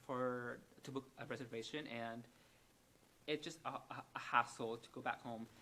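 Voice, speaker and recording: At a fairly slow pace, a man with a medium pitch speaks in a monotone, flat intonation. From Vietnam, Hanoi. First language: Vietnamese. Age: 20s. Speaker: psychiatric nurse. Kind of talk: interview. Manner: halting, many repetitions and fillers.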